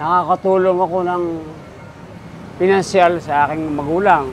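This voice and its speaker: This high-pitched man talks fairly slowly, his pitch varying in an ordinary way, with noticeable background noise present. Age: 60s. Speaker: woodcarver. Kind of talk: interview. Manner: halting.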